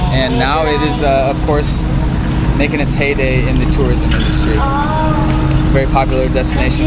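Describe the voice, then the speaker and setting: Loud background noise sits behind a man speaking at a fairly quick pace. The sound itself is dry with no echo. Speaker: travel vlogger. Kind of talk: casual vlog chat. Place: waterside. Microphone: phone near.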